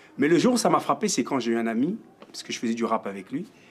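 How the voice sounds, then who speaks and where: Very wide pitch swings mark this voice. It belongs to a man. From France. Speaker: music teacher. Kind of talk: interview.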